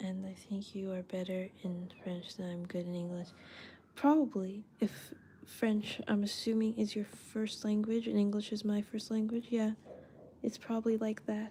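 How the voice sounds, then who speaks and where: At a moderate pace, a woman talks with a dark, mellow, somewhat breathy tone. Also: medium pitch for a woman, fairly even intonation. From Canada. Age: 20s. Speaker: artist livestreamer. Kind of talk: casual livestream chat while drawing. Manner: casual, chatty.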